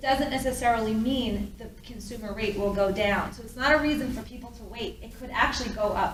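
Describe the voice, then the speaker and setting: Over noticeable background noise and audible room echo, a woman with a fairly high voice talks at a fairly quick pace with hardly any pauses, her intonation fairly even but her loudness swinging widely. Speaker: mortgage loan officer. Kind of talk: presentation. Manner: fast.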